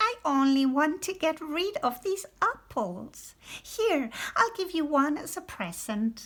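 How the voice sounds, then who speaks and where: Using a put-on character voice, a woman talks at a fairly slow pace at an extremely high pitch with very wide pitch swings. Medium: read story.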